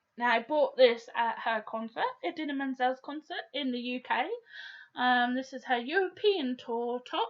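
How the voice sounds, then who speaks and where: A high-pitched woman in a southern English accent, at a moderate pace with ordinary pitch variation. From Portsmouth, south-east England. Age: 30s. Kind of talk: casual video diary to camera. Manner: hesitant, many fillers.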